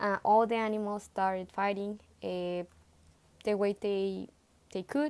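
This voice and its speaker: In a Spanish accent, a woman talks at a fairly slow pace and medium pitch. The recording is very clean, with a silent background. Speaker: student presenting a book report. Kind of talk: book report talk. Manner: halting, with many fillers and self-corrections.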